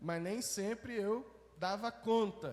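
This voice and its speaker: The man's voice sits at a high pitch. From Belo Horizonte, Minas Gerais, Brazil. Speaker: pastor. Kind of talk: sermon. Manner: conversational, with false starts.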